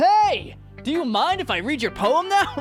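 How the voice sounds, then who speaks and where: A put-on character voice at an extremely high pitch and a moderate pace, with clear music in the background. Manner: cheerful.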